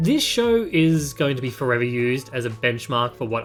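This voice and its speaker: A man at a medium pitch with ordinary pitch variation, music playing in the background. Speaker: TV and game reviewer. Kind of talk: casual review talk to camera.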